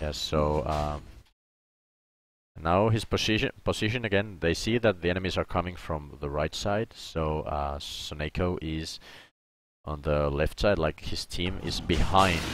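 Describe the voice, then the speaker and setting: In a very clean recording with a silent background, a man with a non-native accent and a very deep, low pitch speaks fairly slowly with ordinary pitch variation. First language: not English. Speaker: streamer and game analyst. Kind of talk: gameplay analysis commentary. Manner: halting, self-correcting.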